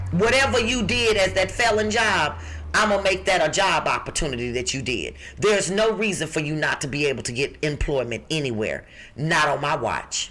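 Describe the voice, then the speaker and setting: A woman with a fairly low pitch speaks at a fairly quick pace in an animated tone with very wide pitch swings. Noticeable background noise is present. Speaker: job recruiter, podcast co-host. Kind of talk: podcast job listings segment.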